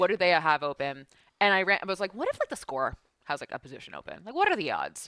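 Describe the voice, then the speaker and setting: In a bright, sharp tone, the speech races at a very fast pace with very wide pitch swings and big swings in loudness. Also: woman, medium pitch for a woman, dry, close sound with no echo. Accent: East Coast. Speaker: esports broadcaster. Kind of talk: casual chat. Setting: podcast.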